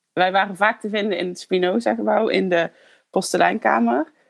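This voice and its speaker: With vocal fry, a woman speaks in a dry, close sound with no echo. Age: 30s. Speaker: former pedagogy student. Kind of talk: personal reminiscence.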